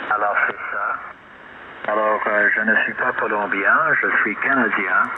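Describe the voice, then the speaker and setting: Noticeable background noise runs under speech delivered at a very slow tempo. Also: man. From Quebec, Canada. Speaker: radio amateur. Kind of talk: amateur radio contact. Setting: radio transmission. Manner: halting.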